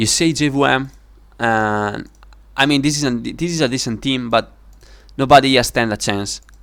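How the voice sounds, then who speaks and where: A man with medium pitch speaks in an ordinary speaking voice, with ordinary pitch variation. The recording is very clean, with a silent background. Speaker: gaming video creator. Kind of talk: commentary on game predictions.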